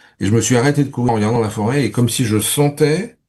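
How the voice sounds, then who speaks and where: A man's dark, mellow voice at a medium pitch with ordinary variation, moving at a fairly quick pace. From Paris region, France. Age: 60s. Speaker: spiritual interview guest, entrepreneur. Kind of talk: interview. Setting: radio studio. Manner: halting, many repetitions and fillers.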